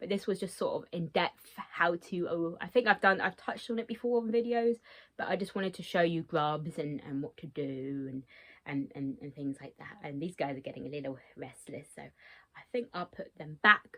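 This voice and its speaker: A woman speaks at a fairly low pitch with lively intonation. Her loudness swings widely. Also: moderate pace, quiet background. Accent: British. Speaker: insect keeper vlogger. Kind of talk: tutorial. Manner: hesitant, many fillers.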